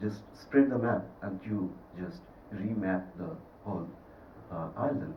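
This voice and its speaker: A man speaking fairly slowly in a Bengali accent, with audible room echo and noticeable background noise. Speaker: film director. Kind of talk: festival Q&A. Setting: cinema with audience.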